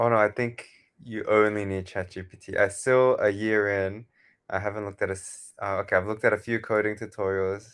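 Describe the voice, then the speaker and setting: A fairly quick, monotone man with an Australian accent, flat intonation, big swings in loudness, very clean recording and silent background. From Australia, Sydney. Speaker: software founder. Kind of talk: interview.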